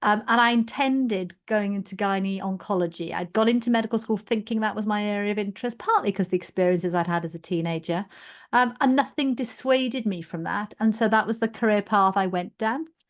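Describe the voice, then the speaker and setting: A woman speaks in a Welsh accent at a medium pitch with ordinary pitch variation. The background is quiet. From South Wales, former mining village. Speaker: general practitioner and medical leader. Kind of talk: podcast interview.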